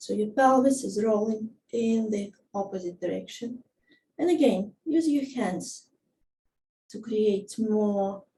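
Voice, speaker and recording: A woman with a non-native accent speaks very slowly in a calm tone, her dark, mellow voice somewhat breathy, fairly high-pitched and showing ordinary pitch variation. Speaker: movement teacher. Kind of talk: guided movement instruction. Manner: slow, calm.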